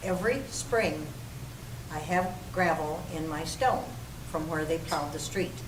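With long, frequent pauses, a woman with a very deep, low pitch and ordinary pitch variation speaks at a fairly slow pace amid noticeable background noise and audible room echo. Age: 80s+. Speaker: city council member. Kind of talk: public meeting debate.

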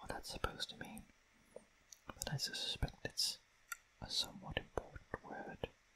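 Whispering in a calm tone at a fairly slow pace, the speaker leaves long, frequent pauses. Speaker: language learner, non-native Greek student. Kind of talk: ASMR language-study reading, whispered musings. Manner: whispered, soft-spoken, calm.

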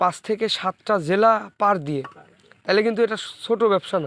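A man's high-pitched voice in dry, close sound with no echo. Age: 20s. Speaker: brick kiln business vlogger. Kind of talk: vlog interview.

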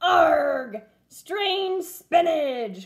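This woman uses a put-on character voice. Her pitch is extremely high. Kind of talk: pirate speech. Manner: wailing, complaining.

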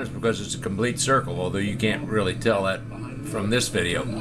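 Behind this man, background noise is noticeable. His intonation stays fairly even. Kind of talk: casual commentary. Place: waterside.

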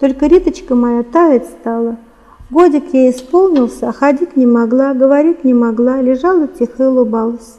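A woman speaks at a high pitch with ordinary pitch variation. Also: moderate pace. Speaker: writer, former engineer. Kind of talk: interview and reading aloud from her book. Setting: studio. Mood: calm, narrative. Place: studio.

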